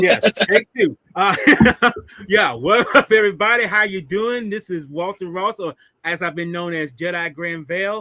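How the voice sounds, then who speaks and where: A man with a high pitch speaks in a raised, projected voice with an excited tone, ordinary pitch variation, big swings in loudness and a moderate pace, in a dry, close sound with no echo. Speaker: podcast host. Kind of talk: casual chat.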